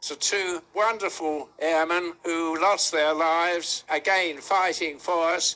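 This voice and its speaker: A man's high, bright and sharp voice, very slow in pace, with fairly even intonation. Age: 80s+. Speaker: war veteran. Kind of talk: interview answer.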